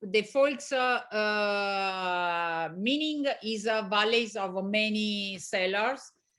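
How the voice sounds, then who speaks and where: A woman with an Italian accent speaks very slowly in a fairly high, bright and sharp voice with ordinary pitch variation over a quiet background. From Italy, Veneto (Valpolicella near Verona). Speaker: winery owner. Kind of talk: interview. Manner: halting, many fillers.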